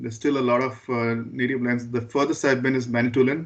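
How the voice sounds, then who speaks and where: This man speaks at a medium pitch with a Goan accent. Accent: Indian English (Goan). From Goa, India. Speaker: school board trustee. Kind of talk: meeting introduction. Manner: halting, stammers.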